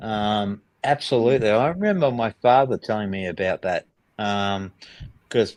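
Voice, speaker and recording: In an Australian accent, a man talks with a fairly low voice. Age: 60s. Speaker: film industry worker. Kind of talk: casual chat. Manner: hesitant, many fillers.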